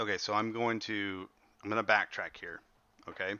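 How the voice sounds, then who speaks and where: A man's voice sits at a medium pitch. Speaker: high school history teacher. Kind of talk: online class lecture. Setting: livestreamed class on video platform. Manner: fast.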